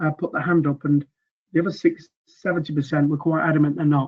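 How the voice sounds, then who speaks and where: Speaking at a very fast pace, a man with a Mancunian accent has a high pitch. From northern England, Manchester. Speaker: sales trainer. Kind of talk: webinar presentation. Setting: online webinar. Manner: hesitant, many fillers.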